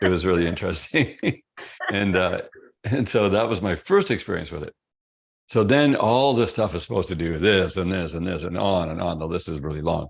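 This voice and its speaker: A man with a resonant, very deep, low voice talks at a fairly quick pace with ordinary pitch variation against a quiet background. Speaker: health product company founder. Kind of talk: interview storytelling. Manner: casual, conversational.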